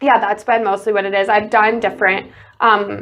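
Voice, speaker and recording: A woman talks at a fairly quick pace in a Chicago accent. Her pitch sits at a medium level. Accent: Chicago-area American. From US Midwest, Chicago suburbs. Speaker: college basketball player. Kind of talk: casual interview. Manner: loud and excitable.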